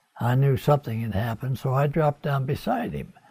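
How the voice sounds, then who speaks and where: Ordinary pitch variation over music in the background. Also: man. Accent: American. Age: 80s+. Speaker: war veteran. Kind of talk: interview answer. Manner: hesitant, halting.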